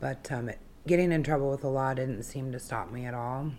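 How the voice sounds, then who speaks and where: Here a woman speaks in a very deep, low voice. Her intonation stays fairly even. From Alaska (Wasilla). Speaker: person in addiction recovery. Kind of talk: testimony.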